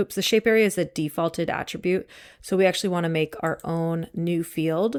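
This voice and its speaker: An unremarkable speaking voice at a fairly quick pace, with fairly even intonation and a dry, close sound without echo in a very clean recording over a silent background. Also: woman, fairly low pitch for a woman. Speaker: instructor. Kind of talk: tutorial.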